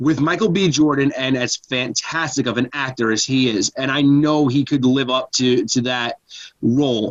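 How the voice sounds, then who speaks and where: A man speaks rather slowly, his pitch resting in the mid range. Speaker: podcast guest. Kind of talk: casual chat. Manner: loud; halting.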